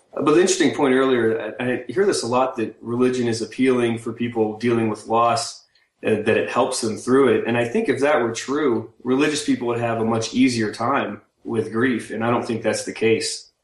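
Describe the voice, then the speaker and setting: Medium in pitch and with fairly even intonation, a man talks in an unremarkable speaking voice. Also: moderate pace. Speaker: military pilot and web cartoonist. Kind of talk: casual conversation. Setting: internet call.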